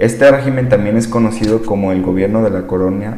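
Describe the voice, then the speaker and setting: The voice belongs to a man. Room echo can be heard around it. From Sinaloa, Mexico. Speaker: podcast host. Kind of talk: reading aloud. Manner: casual, filler-heavy.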